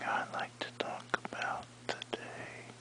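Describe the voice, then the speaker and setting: Whispering in a relaxed tone at a very slow pace, the voice comes through noticeable background noise. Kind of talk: ASMR-style sleepy talk to camera, relaxing whispering. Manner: whispered, relaxed, rambling.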